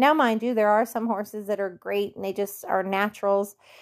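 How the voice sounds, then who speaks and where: Someone speaks at a moderate pace in a flat, monotone delivery, recorded very cleanly against total silence. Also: woman. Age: 50s. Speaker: barrel racing coach. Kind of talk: coaching Q&A podcast.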